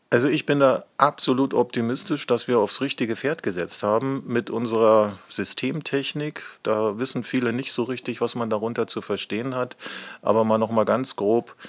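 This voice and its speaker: A man in a normal speaking voice talks at a moderate pace and medium pitch, with fairly even intonation. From Lusatia, eastern Germany (Hoyerswerda). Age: 50s. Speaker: company managing director. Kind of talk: podcast interview.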